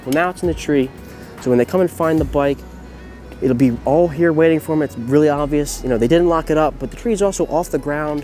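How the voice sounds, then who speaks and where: Music plays in the background as a man speaks. He goes at a very fast pace with ordinary pitch variation. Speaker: college student. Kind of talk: humorous how-to video to camera.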